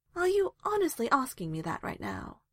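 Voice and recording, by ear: A woman performs a put-on character voice at a high pitch, with very wide pitch swings and a moderate pace. The recording is very clean, with a silent background.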